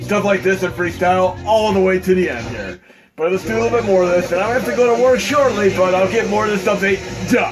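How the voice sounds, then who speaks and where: A loud, energetic man with a high-pitched voice over background music. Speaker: retro gaming modder. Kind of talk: casual gameplay commentary. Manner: fast, loud, energetic.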